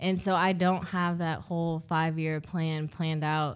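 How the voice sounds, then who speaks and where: A woman's normal speaking voice, fairly low in pitch, at a moderate pace with fairly even intonation. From Ohio, US Midwest. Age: 20s. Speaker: accountant, consultant. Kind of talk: casual interview.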